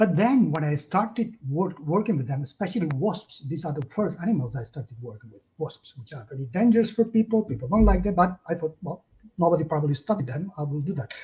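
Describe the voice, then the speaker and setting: A man with a Catalan accent speaks very fast in a dark, mellow tone. His fairly high pitch swings very widely. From Catalonia, Spain. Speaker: zoologist and animal protection campaigner. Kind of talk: interview. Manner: halting.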